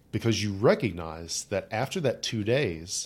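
A normal speaking voice from a man with an American accent, fairly low in pitch, with ordinary pitch variation at a moderate pace, on a very clean recording with a silent background. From rural Appalachia, West Virginia. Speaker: psychologist and executive coach. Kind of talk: casual interview. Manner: casual, conversational.

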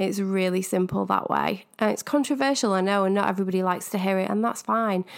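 A woman with a Manchester accent, medium-pitched, very fast with hardly any pauses, with very even loudness and ordinary pitch variation, in a very clean recording with a silent background. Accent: northern English, Manchester. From northern England. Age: 30s. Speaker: podcast host, spiritual coach. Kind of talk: casual solo podcast monologue. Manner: enthusiastic.

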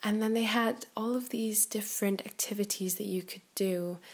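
This woman's voice has a medium pitch and fairly even intonation. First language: not English. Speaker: podcast host, personal growth mentor. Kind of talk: casual solo monologue. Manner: hesitant with frequent fillers.

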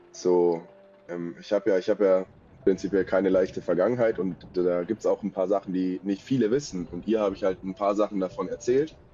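Music plays in the background as a man talks at a fairly quick pace, his very deep, low pitch carried with fairly even intonation. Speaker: stalking victim telling his story. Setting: remote call with poor mic.

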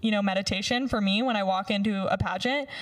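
Over noticeable background noise, a woman with an American accent speaks at a fairly quick pace. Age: 20s. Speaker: former beauty pageant winner. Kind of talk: casual chat. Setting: studio.

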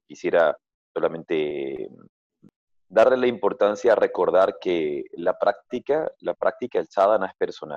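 The voice belongs to a man. It sounds dry and close, without any echo. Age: 40s. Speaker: yoga teacher. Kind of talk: interview. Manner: halting.

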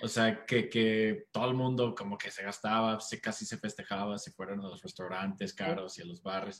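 A man talks at a moderate pace with a fairly low pitch, ordinary pitch variation, and big swings in loudness, leaving hardly any pauses. He has a plain, everyday voice. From United States. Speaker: startup co-founder and CEO. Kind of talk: interview.

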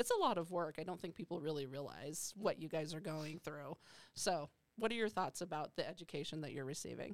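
A woman speaks at a fairly quick pace. Her voice is an unremarkable speaking voice, fairly low in pitch. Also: ordinary pitch variation. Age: 50s. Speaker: psychology professor and podcast host. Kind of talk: casual panel discussion.

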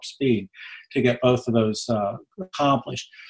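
Somewhat breathy, a man speaks at a medium pitch and a moderate pace. His intonation stays fairly even. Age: 70s. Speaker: economist. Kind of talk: radio interview.

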